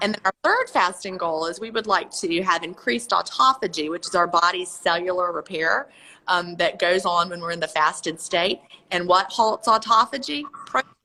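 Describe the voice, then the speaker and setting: A normal speaking voice from a woman, medium in pitch, at a moderate pace with ordinary pitch variation. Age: 50s. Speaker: author. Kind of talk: interview.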